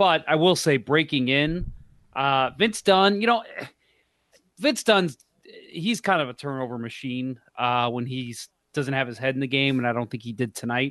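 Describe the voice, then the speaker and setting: Here a man has a normal speaking voice, pitched fairly high. He talks at a moderate pace with lively intonation. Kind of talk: casual, irreverent sports banter. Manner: joking, profane, sarcastic.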